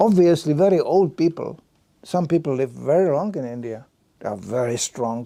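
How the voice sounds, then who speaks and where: A man's dark, mellow tone comes at a moderate pace. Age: 70s. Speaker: Hare Krishna preacher. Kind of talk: lecture. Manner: halting.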